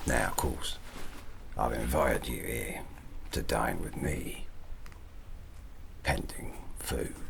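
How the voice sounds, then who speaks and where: Gravelly whispering from a man in a put-on character voice with a Cockney accent, at a fairly slow pace with long, frequent pauses, over loud background noise. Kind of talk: ASMR roleplay. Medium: solo performance. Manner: rambling, jovial, conspiratorial.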